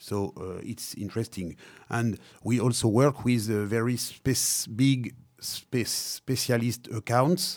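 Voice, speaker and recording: On a very clean recording with a silent background, a man at medium pitch speaks at a very slow pace with ordinary pitch variation. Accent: French. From Africa (born Madagascar), French-speaking. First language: French. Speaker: wine and spirits company manager. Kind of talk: interview. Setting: studio. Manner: halting, many hesitations.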